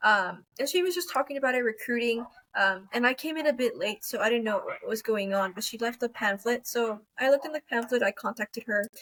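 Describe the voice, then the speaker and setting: This woman has a high pitch and lively intonation. She speaks at a fairly quick pace. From Texas, Rio Grande Valley. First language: Spanish. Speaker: university student. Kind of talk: interview.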